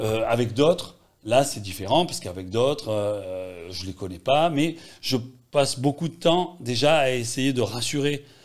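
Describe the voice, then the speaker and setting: This man talks at a fairly slow pace with a slight Marseille accent. His pitch sits in the medium range, and his intonation is lively. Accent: slight Marseille accent, kept here. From Marseille, France. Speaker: journalist and documentary filmmaker. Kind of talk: interview talk.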